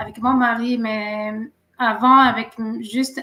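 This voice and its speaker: A woman's high-pitched voice, fairly even in intonation and very slow in pace, over noticeable background noise. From Algeria, Kabylie. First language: Berber (Kabyle), also French. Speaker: teacher, business owner. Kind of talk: casual live stream introduction. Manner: halting with many hesitations.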